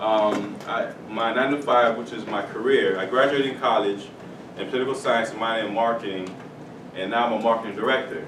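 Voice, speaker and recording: A man with an American accent talks at a fairly quick pace and fairly even intonation. There is audible room echo and noticeable background noise. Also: medium pitch for a man. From South Florida, Haitian family. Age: 30s. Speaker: author and mentor. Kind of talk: talk to schoolchildren. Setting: elementary school classroom. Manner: casual, some hesitations.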